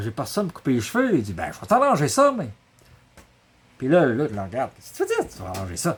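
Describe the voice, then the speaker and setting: With a Quebec accent, a man talks in a somewhat breathy voice whose pitch swings very widely. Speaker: storyteller. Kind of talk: oral storytelling, family anecdote. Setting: workshop. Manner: casual, humorous.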